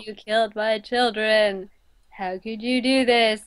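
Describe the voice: Putting on a character voice, a woman speaks at a fairly slow pace with monotone, flat intonation. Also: fairly high pitch for a woman.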